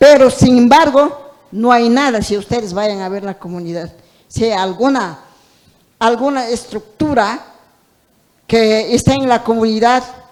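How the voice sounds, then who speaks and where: With long, frequent pauses, a woman speaks at a fairly slow pace in a fairly high pitch, with ordinary pitch variation. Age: 60s. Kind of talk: audience comment at panel. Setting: auditorium panel event. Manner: halting.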